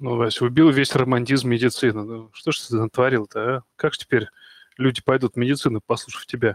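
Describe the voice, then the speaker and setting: Speaking at a fairly quick pace with fairly even intonation, a man has a plain, everyday voice, and the sound is dry and close with no echo. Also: medium pitch for a man. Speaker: podcast host and doctor. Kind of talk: live online discussion, moderating.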